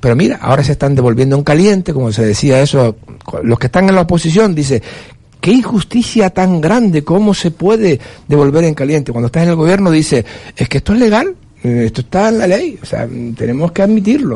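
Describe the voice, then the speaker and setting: A man's fairly high voice at a fairly quick pace with very wide pitch swings. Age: 60s. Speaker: political commentator. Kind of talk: panel discussion.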